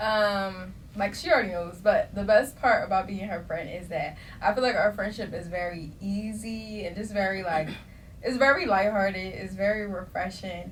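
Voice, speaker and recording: A woman talks at a moderate pace with ordinary pitch variation and big swings in loudness. Audible room echo colors the recording. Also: medium pitch for a woman. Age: young. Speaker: podcast host. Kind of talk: casual chat. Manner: animated.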